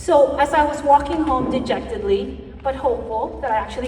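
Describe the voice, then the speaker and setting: A woman's high-pitched voice at a fairly quick pace with ordinary pitch variation, amid noticeable background noise and audible room echo. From Philippines. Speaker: staffing company founder, conference speaker. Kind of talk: keynote speech. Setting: stage with audience. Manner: animated.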